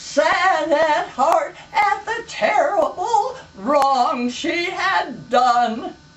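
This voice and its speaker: A woman with an American accent speaks at a very slow pace. Her pitch swings very widely, and the room echo is audible. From US West. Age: 90s. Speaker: elderly storyteller. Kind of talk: casual chat.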